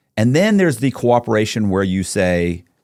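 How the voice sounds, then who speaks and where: The tone is animated, with lively intonation. The recording is very clean, with a silent background. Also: man. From Florida, Tampa. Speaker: convicted fraudster telling his story. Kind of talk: casual interview. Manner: fast.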